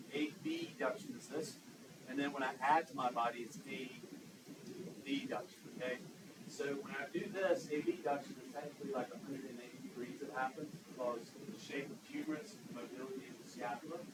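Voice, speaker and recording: With lively intonation and a fairly high pitch, a man talks at a fairly quick pace in a Southern US accent, his loudness swinging widely amid audible room echo. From US South. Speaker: anatomy instructor. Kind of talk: lecture. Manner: animated, conversational.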